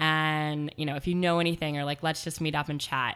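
Her pitch is very deep and low, and she is a woman with an American accent. The recording is very clean, with a silent background. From Portland, Oregon. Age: 30s. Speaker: blogger and font industry worker. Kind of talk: interview.

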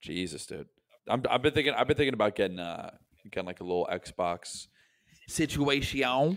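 A man speaks at a moderate pace with very wide pitch swings and big swings in loudness. Long, frequent pauses break up his speech. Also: medium pitch for a man. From US South, Tampa, Florida. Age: 20s. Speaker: comedian. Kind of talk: casual chat.

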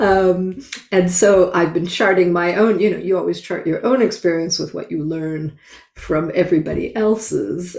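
Fairly low in pitch, this woman has a plain, everyday voice. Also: fairly even intonation, moderate pace. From Canada. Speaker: gender balance consultant and author. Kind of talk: interview.

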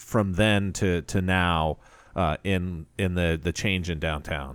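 This is a very clean recording of a man, with a silent background behind him. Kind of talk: radio DJ patter: local AM talk-show host station ID, segment bumpers and show plugs. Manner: steady, conversational, easygoing, with frequent 'uh' fillers and a friendly tone.

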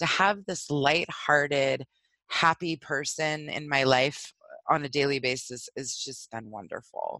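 This put-on character voice is raspy with a low-to-middle pitch. It moves at a fairly slow pace. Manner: energetic, full of zest.

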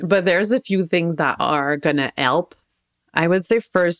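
A woman at a moderate pace with fairly even intonation, in a dry, close sound with no echo. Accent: French Canadian. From Quebec. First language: French. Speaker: social worker and parent coach. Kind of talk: interview.

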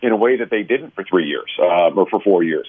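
Speaking at a fairly quick pace, a man uses a normal speaking voice at medium pitch. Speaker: political commentator. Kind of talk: panel discussion.

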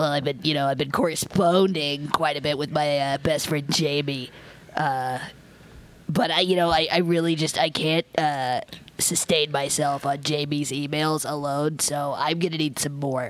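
A woman uses a put-on character voice, raspy and very deep and low. Her intonation stays fairly even over light background noise. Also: moderate pace. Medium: actual play. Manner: formal, elaborate wording.

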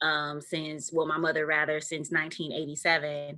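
Very deep, low pitch from a woman, at a fairly slow pace. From Milwaukee, north side. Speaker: podcast co-host. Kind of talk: interview.

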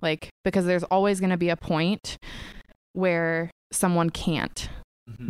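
A woman with an American accent speaks at a fairly slow pace in a plain, everyday voice, her pitch fairly low and its variation ordinary. The sound is dry and close, with no echo. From US Pacific Northwest. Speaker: startup co-founder, graphic designer. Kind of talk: casual interview chat. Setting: studio.

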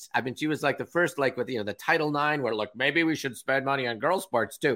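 The speaker uses lively intonation. The voice is in a West Coast US accent. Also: man. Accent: General American (West Coast). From Southern California, Orange County. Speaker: meeting emcee and business speaker. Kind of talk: casual interview chat. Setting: remote call.

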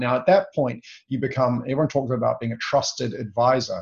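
Speaking with ordinary pitch variation, a man has a somewhat breathy voice. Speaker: sales consultant and trainer. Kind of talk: casual interview chat. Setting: video call.

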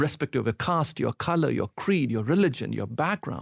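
Fairly high-pitched man with vocal fry and lively intonation at a moderate pace, in a very clean recording with a silent background and a dry, close sound without echo. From India. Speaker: pastor, church planter. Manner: fervent, pleading, earnest preacher's cadence.

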